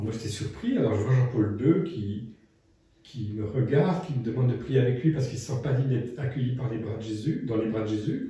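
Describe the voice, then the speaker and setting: A man's dark, mellow voice, somewhat breathy, with ordinary pitch variation and audible room echo. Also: medium pitch for a man, fairly quick pace. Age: 60s. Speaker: priest and interviewer. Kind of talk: casual conversation.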